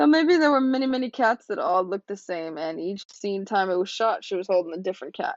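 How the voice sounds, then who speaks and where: The voice moves at a fairly quick pace with very wide pitch swings. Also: woman. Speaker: podcast host. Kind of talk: casual commentary. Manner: conversational.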